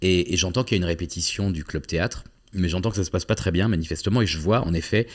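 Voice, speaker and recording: Speaking at a very fast pace, a man with a very deep, low pitch uses ordinary pitch variation on a very clean recording with a silent background. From southwest France (Agen). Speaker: actor and playwright. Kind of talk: interview. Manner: hesitant, many fillers and repetitions.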